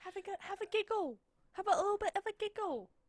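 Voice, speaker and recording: This put-on character voice is squeaky with an extremely high pitch. It rattles along at a very fast pace. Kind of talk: playful, mock-polite.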